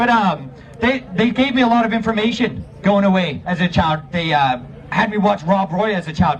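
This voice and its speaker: With an American accent, a man speaks at a high pitch and moderate pace in an animated tone, showing ordinary pitch variation over noticeable background noise. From US. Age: 30s. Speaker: protest speaker. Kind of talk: rally speech.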